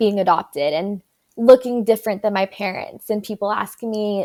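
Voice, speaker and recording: In a very clean recording with a silent background, a woman with an American accent speaks at a medium pitch and a moderate pace, her intonation fairly even. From Dallas-Fort Worth, Texas. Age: 20s. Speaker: adoptee sharing her story, grad student. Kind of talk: interview conversation. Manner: hesitant, many fillers.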